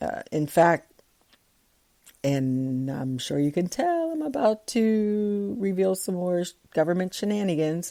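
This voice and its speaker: A woman's medium-pitched voice with a dark, mellow tone, very wide pitch swings, and a fairly slow pace. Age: 60s. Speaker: podcaster. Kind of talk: casual commentary reading from research. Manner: halting.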